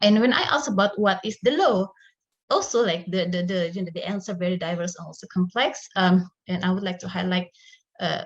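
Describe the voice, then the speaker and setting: Speaking at a fairly quick pace with an Indonesian accent, a woman has a somewhat breathy, medium-pitched voice with ordinary pitch variation and big swings in loudness. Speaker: academic researcher. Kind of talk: conference presentation. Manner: halting, many fillers.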